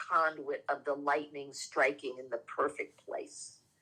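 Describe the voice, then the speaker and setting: A woman speaks with a New York accent. Her tone is bright and sharp. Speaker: spiritual teacher and reverend. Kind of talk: casual spiritual chat.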